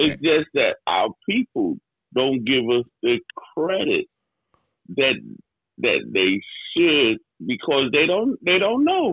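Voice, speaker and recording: Pausing long and often, a man with an American accent speaks very slowly at very even loudness. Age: 60s. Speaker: hip hop DJ. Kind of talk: casual chat.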